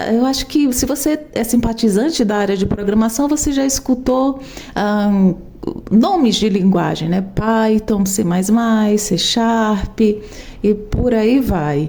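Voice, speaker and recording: Speaking very slowly over noticeable background noise, a woman uses a fairly high pitch and ordinary pitch variation. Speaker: programmer and tech educator. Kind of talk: tutorial.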